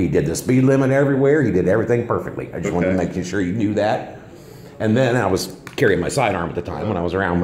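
In a room with audible echo, a man talks at a very fast pace in a fairly low pitch. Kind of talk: conversation with officer. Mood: friendly, complimentary. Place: station. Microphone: phone near.

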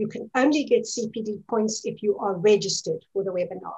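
Over a quiet background, a woman speaks at a moderate pace in a somewhat breathy voice. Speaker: webinar moderator. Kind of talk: webinar introduction. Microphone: video call.

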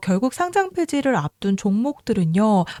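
Over a silent background in a very clean recording, a woman with a fairly high pitch and a dark, mellow tone speaks at a moderate pace, her pitch swinging very widely, the sound dry and close with no echo. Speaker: crypto analyst video host. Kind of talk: market analysis commentary with sales pitch.

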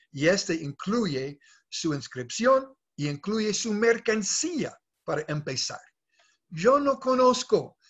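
At a very slow pace, a high-pitched man speaks with very wide pitch swings against a quiet background. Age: 60s. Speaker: network marketing leader. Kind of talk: sales pitch. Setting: video call. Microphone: video call.

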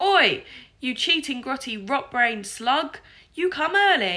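A gruff, put-on character voice, shouting at a fairly slow pace with very wide pitch swings. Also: woman, high pitch for a woman. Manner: shouted at the top of her voice, gruff.

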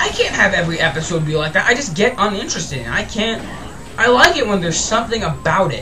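Music plays in the background. Over it, a man speaks in a raised, projected voice. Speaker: gameplay video host. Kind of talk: angry rant about kids' TV, then gameplay commentary. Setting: home recording, game commentary. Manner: ranting, fast, worked-up, swearing; hyper, excitable, rambling, repeats words.

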